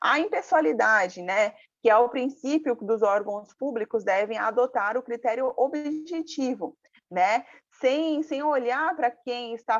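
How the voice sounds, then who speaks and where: This woman has a high-pitched voice. She talks at a fairly slow pace. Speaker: lawyer and public procurement lecturer. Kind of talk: live online lecture. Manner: halting, many fillers.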